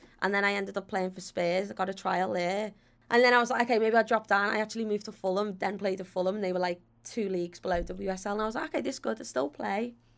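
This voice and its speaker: A woman with a Liverpool accent at a very fast pace, medium pitch and ordinary pitch variation. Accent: Scouse. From Liverpool, England. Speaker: footballer and TV presenter. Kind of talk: casual chat. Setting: studio. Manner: animated.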